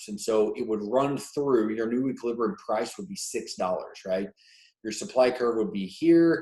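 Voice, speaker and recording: A man talks at a moderate pace and medium pitch in an unremarkable speaking voice. His intonation is lively. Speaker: economics teacher. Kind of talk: tutorial.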